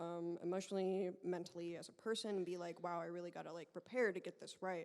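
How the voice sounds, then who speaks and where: A woman's fairly low, monotone voice with flat intonation at a fairly quick pace. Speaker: fan. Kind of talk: audience question. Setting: stage with audience. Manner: loud; halting.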